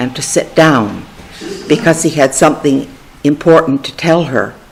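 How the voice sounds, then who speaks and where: Amid noticeable background noise, a woman with a Canadian accent speaks at a moderate pace in a very deep, low voice with fairly even intonation. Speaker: family storyteller. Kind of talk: memoir reading.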